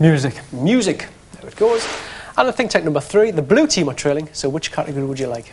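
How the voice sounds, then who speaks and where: A man talks at a very fast pace in a strong Geordie accent, with very wide pitch swings and big swings in loudness. Noticeable background noise is present. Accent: thick Geordie. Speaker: game show host. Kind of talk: TV game show hosting.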